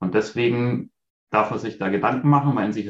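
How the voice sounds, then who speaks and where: A man talks at a moderate pace with ordinary pitch variation. His is an ordinary speaking voice. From Bavaria, near Munich. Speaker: leader and vision board workshop coach. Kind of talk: interview.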